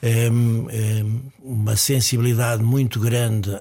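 Noticeable background noise sits behind a man whose medium-pitched voice stays monotone and flat. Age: 70s. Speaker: psychiatrist. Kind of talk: interview.

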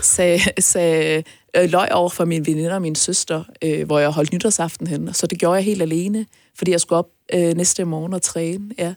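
This woman has an ordinary speaking voice, pitched fairly low. She talks at a moderate pace with fairly even intonation. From North Jutland, Denmark. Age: 30s. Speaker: entrepreneur and podcast guest. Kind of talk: personal interview. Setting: studio.

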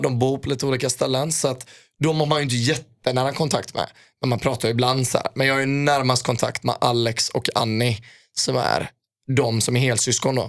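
Fairly quick and with fairly even intonation, a man speaks at a medium pitch in an unremarkable speaking voice. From Sweden, Gothenburg. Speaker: footballer. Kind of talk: casual chat.

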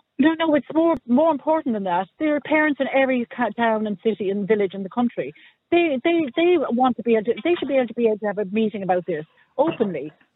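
An Irish accent marks this man's very fast speech, pitched extremely high and moving in very wide pitch swings. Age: 60s. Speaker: caller. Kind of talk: radio phone-in debate.

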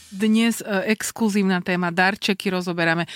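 A woman speaks at a moderate pace in a very clean recording with a silent background. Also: dry, close sound with no echo. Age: 30s. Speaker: radio show co-host. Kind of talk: casual chat.

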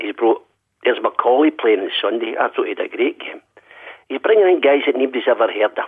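A man speaks with a Glaswegian accent. His pace is very fast. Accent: Glaswegian Scottish. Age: 60s. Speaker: football fan caller. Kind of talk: radio phone-in call. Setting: phone call.

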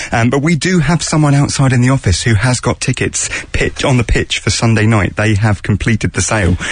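A man with a British accent at medium pitch, fairly quick with hardly any pauses, lively intonation, very even loudness and noticeable background noise. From UK. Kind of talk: casual chat. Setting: studio.

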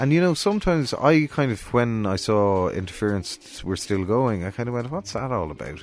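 In a Cork accent, the speaker keeps a moderate pace with hardly any pauses and very wide pitch swings. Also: man. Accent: Cork Irish. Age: 40s. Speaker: music promoter and festival director. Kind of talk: casual interview chat. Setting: studio.

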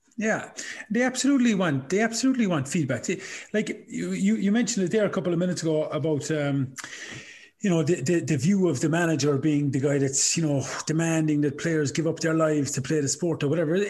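In an Irish accent, a man speaks at a very fast pace and fairly high pitch, with lively intonation and very even loudness. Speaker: podcast host and coach. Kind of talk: casual interview chat.

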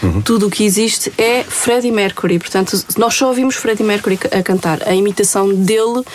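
Speech moves at a fairly quick pace with very even loudness. Intonation is fairly even, and background noise is noticeable. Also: woman, medium pitch for a woman. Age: 40s. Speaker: radio host. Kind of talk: casual interview.

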